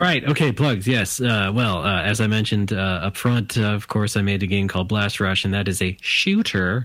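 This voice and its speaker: An unremarkable speaking voice from a man with a General American accent, fairly low in pitch, at a moderate pace with hardly any pauses, very even loudness and ordinary pitch variation. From US West Coast. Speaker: game developer. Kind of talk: casual chat.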